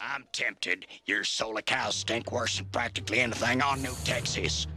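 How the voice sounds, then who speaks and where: A put-on character voice with a drawl, lively intonation and a moderate pace. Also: man, medium pitch for a man. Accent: Western US. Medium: cartoon. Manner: folksy, drawling.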